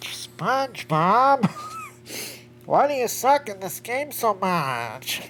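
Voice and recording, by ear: A put-on character voice, nasal and fairly high in pitch, moves at a very slow pace with long, frequent pauses.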